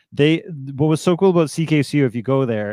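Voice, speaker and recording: A man's unremarkable speaking voice with a Canadian accent, fairly quick with ordinary pitch variation, dry and close with no echo, over a quiet background. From Canada, Toronto. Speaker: DJ. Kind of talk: interview.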